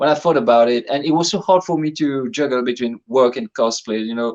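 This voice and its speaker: This man has a plain, everyday voice. His words come at a moderate pace. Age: 30s. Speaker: full-time cosplayer. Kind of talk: casual chat.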